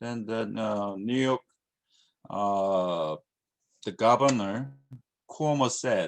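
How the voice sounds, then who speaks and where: A man with a Korean accent talks at a very slow pace. Long pauses come often between his words. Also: medium pitch for a man, ordinary pitch variation. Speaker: university lecturer. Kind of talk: lecture. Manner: halting, many fillers.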